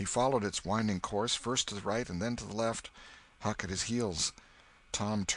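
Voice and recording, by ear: A natural voice reads aloud. Fairly even intonation runs through it.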